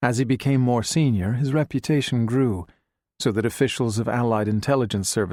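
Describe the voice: A quiet background behind plain reading aloud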